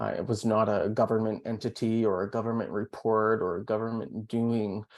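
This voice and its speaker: On a very clean recording with a silent background, a man speaks with a Canadian accent. His pace is moderate and his intonation monotone and flat. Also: medium pitch for a man. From Canada. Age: 30s. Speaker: pharmacy professor. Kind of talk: interview. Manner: calm.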